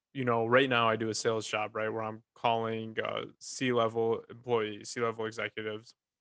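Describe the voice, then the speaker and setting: With a Northern US accent, a medium-pitched man talks in a flat monotone, hardly pausing at all. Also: moderate pace. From Michigan. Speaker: podcast host; also works in sales. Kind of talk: casual chat.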